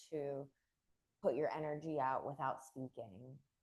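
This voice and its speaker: A woman speaks at a fairly slow pace, her very deep, low pitch held in fairly even intonation. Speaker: yoga teacher trainer. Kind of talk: lecture.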